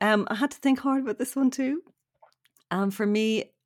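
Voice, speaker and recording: A woman speaks in a Dublin accent. The recording is very clean, with a silent background. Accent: Dublin Irish. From Ireland, south County Dublin. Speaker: novelist and journalist. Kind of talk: casual chat.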